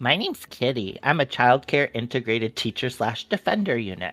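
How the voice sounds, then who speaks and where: A man uses a put-on character voice at medium pitch and a fairly quick pace. Faint music plays in the background. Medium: actual play.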